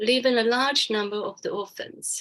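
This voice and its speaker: A woman speaks with a Taiwanese accent. Her voice is fairly high, with ordinary pitch variation. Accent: Taiwanese Mandarin-accented English. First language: Chinese. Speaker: charity founder and businesswoman. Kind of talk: webinar talk.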